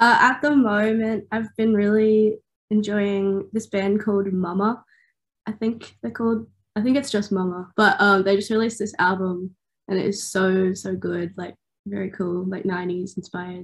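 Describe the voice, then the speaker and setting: On a very clean recording with a silent background, a woman speaks at a moderate pace in a somewhat breathy, medium-pitched voice with fairly even intonation. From Australia, Newcastle NSW. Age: 20s. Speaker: singer-songwriter. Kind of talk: interview. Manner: casual, many fillers.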